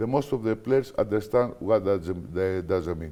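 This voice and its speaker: A man with a Greek accent and a dark, mellow tone, with very wide pitch swings. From Greece. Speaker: basketball coach. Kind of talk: interview. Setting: studio. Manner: halting.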